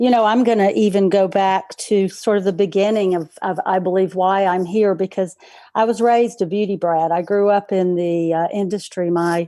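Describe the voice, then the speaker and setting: A woman with a North Carolina accent, dark and mellow in tone, at a moderate pace with hardly any pauses, fairly even intonation and very even loudness. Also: medium pitch for a woman. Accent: Southern US (North Carolina). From North Carolina, Charlotte. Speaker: practice management consultant. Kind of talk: interview.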